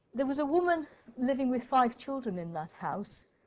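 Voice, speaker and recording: A woman is talking at a moderate pace. Her pitch varies in an ordinary way. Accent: English. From Wales. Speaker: professor of midwifery research. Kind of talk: lecture. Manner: hesitant, with fillers and repetitions.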